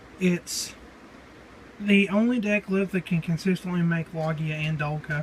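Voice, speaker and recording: In an American accent, a man talks at a moderate pace in a high, relaxed voice with ordinary pitch variation. Noticeable background noise is heard behind him. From Southern United States. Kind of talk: casual talk to camera, card game deck profile. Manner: casual, relaxed.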